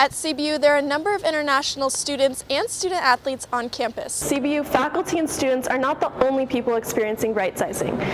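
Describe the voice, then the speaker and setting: Over noticeable background noise, a woman with a high pitch talks at a very fast pace with hardly any pauses and ordinary pitch variation. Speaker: student TV news reporter. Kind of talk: news reporter standup.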